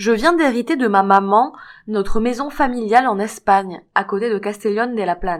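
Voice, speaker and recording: The recording is very clean, and the background is silent. An ordinary speaking voice keeps a moderate pace and ordinary pitch variation. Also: woman, fairly high pitch for a woman. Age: 60s. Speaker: fibromyalgia patient giving testimony. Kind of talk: testimony.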